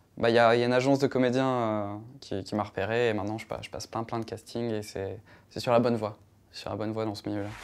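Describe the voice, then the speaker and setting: In a very clean recording with a silent background, a man talks very fast at a medium pitch in a monotone, flat intonation. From southern France, Nîmes (Gard). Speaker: YouTuber. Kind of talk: interview. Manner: hesitant, many fillers.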